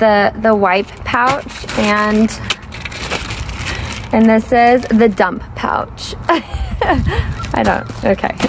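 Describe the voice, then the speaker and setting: A woman at a very slow pace, with long, frequent pauses, fairly even intonation and very even loudness, over noticeable background noise. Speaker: parent vlogger. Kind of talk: casual vlog chat. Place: street. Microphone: phone near.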